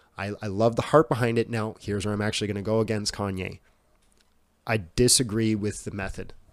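In a very clean recording with a silent background, a man with a Canadian accent and a plain, everyday voice speaks fairly quickly at a fairly low pitch with fairly even intonation. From Canada, Yukon (Whitehorse). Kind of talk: casual chat.

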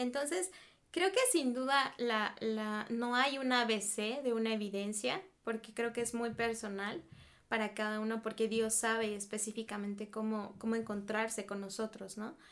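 A woman with a fairly high pitch talks fairly slowly, her pitch varying in an ordinary way. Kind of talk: casual chat.

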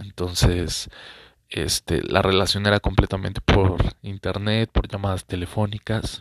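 In a dry, close sound with no echo, a man talks at a fairly slow pace with monotone, flat intonation. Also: fairly low pitch for a man. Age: 20s. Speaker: podcaster. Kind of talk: personal storytelling monologue. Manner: hesitant, many fillers.

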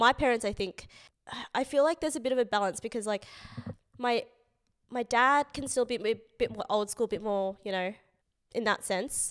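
Speaking at a fairly quick pace with long, frequent pauses, a woman with an Australian accent and a fairly high pitch is heard in a very clean recording with a silent background and a dry, close sound with no echo. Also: ordinary pitch variation. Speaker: podcast host. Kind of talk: casual chat.

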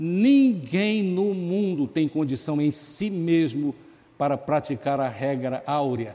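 Speaking at a very slow pace, a man with a fairly high pitch and a dark, mellow tone uses ordinary pitch variation. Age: 70s. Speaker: pastor. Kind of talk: sermon.

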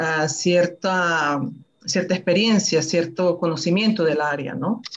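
At a fairly slow pace, a woman with a fairly low pitch speaks with fairly even intonation in an ordinary speaking voice. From Venezuela. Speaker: citizenship advisor, panelist. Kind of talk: online talk, explanatory. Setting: video call, live stream.

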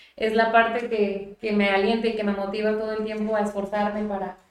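Moderately paced speech in a flat monotone, with audible echo from the room. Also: woman. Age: 20s. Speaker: mayor. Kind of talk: interview. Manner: halting.

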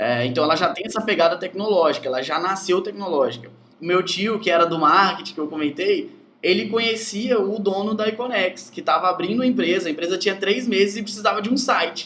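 Lively intonation at a fairly quick pace over noticeable background noise. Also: man, high pitch for a man. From Brazil, rural Espírito Santo. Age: 20s. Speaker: software developer. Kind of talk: casual interview.

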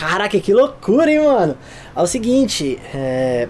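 Over noticeable background noise, a man talks at a fairly slow pace. His high voice moves in very wide pitch swings. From São Paulo, Brazil. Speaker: photographer and director. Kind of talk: casual chat.

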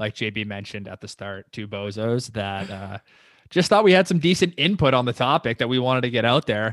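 In an unremarkable speaking voice of medium pitch, a man talks at a fairly quick pace with lively intonation and big swings in loudness, in a dry, close sound with no echo over a quiet background. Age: 20s. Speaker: podcast co-host. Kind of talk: casual chat.

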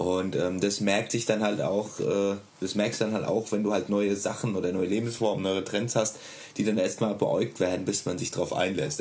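The speaker has an ordinary speaking voice at a moderate pace. Loudness stays very even and intonation fairly even. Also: man. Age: 30s. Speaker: stay-at-home father and hobby musician. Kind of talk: casual interview.

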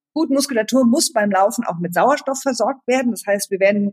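With a somewhat breathy voice, a woman speaks at a fairly high pitch and ordinary pitch variation. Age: 40s. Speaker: running coach. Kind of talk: casual chat.

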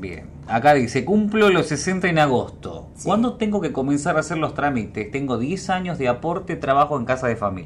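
Vocal fry marks this man's fairly high voice as he talks at a moderate pace. His pitch swings very widely, and he barely pauses at all. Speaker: radio host. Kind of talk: reading listener messages aloud. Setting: radio studio.

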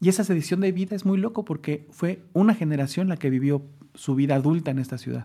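A man talks at a very fast pace in a dark, mellow, somewhat breathy voice with ordinary pitch variation. The recording is very clean, with a silent background. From Mexico City, Mexico. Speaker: social science researcher. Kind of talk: casual conversation.

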